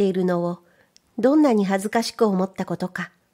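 Her pitch medium and her tone dark and mellow, a woman speaks at a moderate pace with ordinary pitch variation on a very clean recording with a silent background. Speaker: voice trainer and narrator. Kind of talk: literary reading of a children's story.

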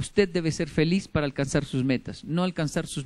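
Pitch varies in an ordinary way as the speech holds a moderate pace. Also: man. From Colombia and Japan. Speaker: motivational speaker. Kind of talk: motivational talk. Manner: animated. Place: hall. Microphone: podium.

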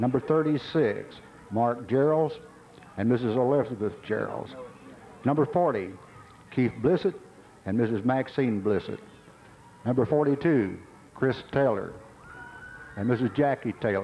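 A man at a very slow pace with long, frequent pauses, ordinary pitch variation and very even loudness, over light background noise. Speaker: stadium announcer. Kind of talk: public address announcement. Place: stadium.

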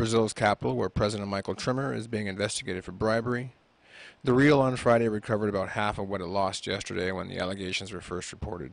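At a very fast pace, the voice shows ordinary pitch variation in a dry sound with no echo. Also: man. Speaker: radio host. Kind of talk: radio interview. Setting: radio studio. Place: studio. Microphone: studio mic.

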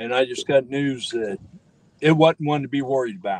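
Dry and close with no echo, a man's ordinary speaking voice sits at a fairly high pitch with ordinary pitch variation. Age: 60s. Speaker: fishing companion. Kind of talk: casual chat. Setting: outdoors.

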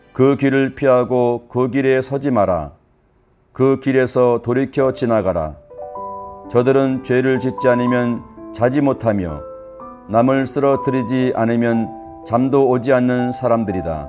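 A man at medium pitch with ordinary pitch variation, speaking at a very slow pace over music in the background. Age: old. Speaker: grandfather reading scripture. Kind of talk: scripture reading for children.

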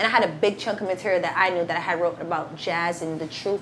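A woman speaks at a very fast pace with an American accent, a fairly low pitch, and monotone, flat intonation. Noticeable background noise runs underneath. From Boston. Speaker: battle rapper. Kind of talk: casual interview chat.

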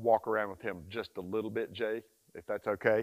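Against a quiet background, a man with a medium-pitched voice talks at a fairly quick pace. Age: 60s. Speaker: dog trainer. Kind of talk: tutorial. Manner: animated. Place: forest. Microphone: lapel.

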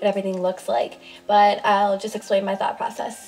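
A woman with faint music in the background. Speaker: first-time vlogger. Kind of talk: casual vlog chat. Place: home room. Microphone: camera far.

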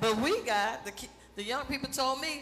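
A woman speaks in a high voice with very wide swings in pitch. Noticeable background noise runs under her. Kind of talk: church stage announcement. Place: church. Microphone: headset.

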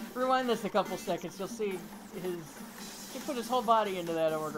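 Lively intonation in a natural reading voice

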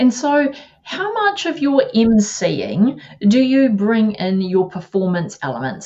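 A somewhat breathy woman with a New Zealand accent speaks very slowly, her pitch swinging very widely. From New Zealand, Taranaki (Māori). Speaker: live-stream show host, event agency founder. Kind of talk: interview. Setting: video call. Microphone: video call.

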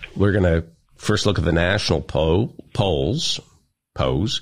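A man speaks with vocal fry in a very clean recording against a silent background. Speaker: radio show host. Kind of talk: comedic banter. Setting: studio. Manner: teasing.

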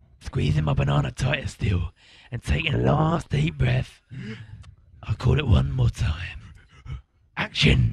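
A man uses a put-on character voice with a very deep, low pitch. He keeps a moderate pace with long, frequent pauses. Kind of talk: mock documentary interview.

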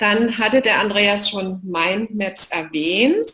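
A woman speaks with lively intonation and a somewhat breathy voice. The background is quiet. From Saxony, eastern Germany (Leipzig); Saxony. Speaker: knowledge management expert; presenter. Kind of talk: online lecture / live session. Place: home room.

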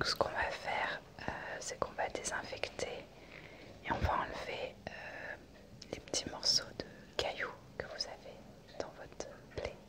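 A soft-spoken woman talks at a fairly slow pace with long, frequent pauses over loud background noise. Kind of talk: role-play medical care talk to viewer. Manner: soft, hushed ASMR doctor voice. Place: home room. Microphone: phone near.

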